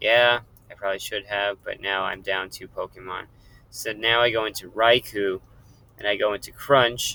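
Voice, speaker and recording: Speaking at a fairly low pitch with monotone, flat intonation, a man shows big swings in loudness. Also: moderate pace. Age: 30s. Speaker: gaming youtuber. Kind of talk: game commentary.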